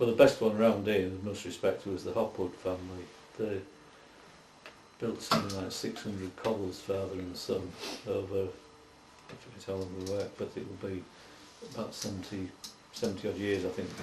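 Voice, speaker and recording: Over noticeable background noise, a man with a fairly low pitch talks at a moderate pace. His intonation is monotone and flat, broken by long, frequent pauses. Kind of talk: oral history interview answer.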